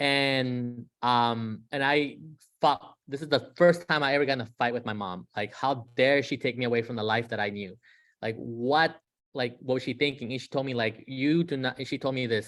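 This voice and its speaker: A man with a Spanish accent on a very clean recording with a silent background. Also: medium pitch for a man, ordinary pitch variation, moderate pace. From San Diego area, US (Mexican-born). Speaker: guest speaker on undocumented students. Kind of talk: presentation with personal story. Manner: many fillers (um, uh).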